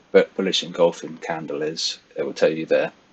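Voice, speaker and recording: Speaking with a London accent at a moderate pace, a man is heard over noticeable background noise. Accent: British, London-area. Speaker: forex trader. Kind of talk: tutorial. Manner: casual, with many fillers.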